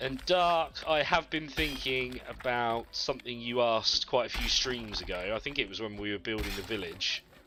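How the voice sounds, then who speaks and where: A man with a bright, sharp tone at a moderate pace, with hardly any pauses. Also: medium pitch for a man. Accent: Yorkshire. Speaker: gaming streamer. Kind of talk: live stream chat with viewers. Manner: relaxed, chatty.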